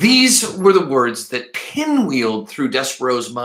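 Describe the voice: What you hear is plain reading aloud.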